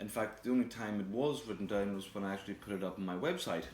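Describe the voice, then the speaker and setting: Music plays in the background. A man talks at a fairly low pitch and a very fast pace. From Scotland. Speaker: chef. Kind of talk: cookery demonstration to camera.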